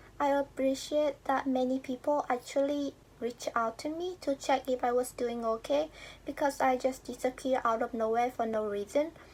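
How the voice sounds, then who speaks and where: Her pitch is high, and her intonation stays fairly even. The woman speaks at a moderate pace on a very clean recording with a silent background. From Vietnam. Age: 20s. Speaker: YouTuber. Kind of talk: personal vlog monologue.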